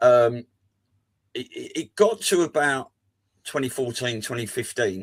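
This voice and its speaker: In a southern English accent, the speaker talks at a fairly slow pace with long, frequent pauses, lively intonation and big swings in loudness. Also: man, medium pitch for a man. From southeast England (Folkestone, Kent). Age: 50s. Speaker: podcast panelist. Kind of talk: casual chat.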